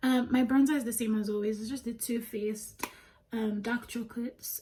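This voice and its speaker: This woman has a Nigerian accent and a fairly high pitch. Her intonation is monotone and flat. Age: 20s. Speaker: beauty vlogger. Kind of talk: casual chat while doing makeup. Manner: chatty, many fillers.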